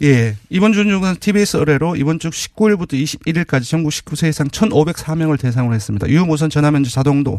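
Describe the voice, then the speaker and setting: A normal speaking voice with lively intonation. The pace is moderate. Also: man. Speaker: polling analyst. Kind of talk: interview about poll results.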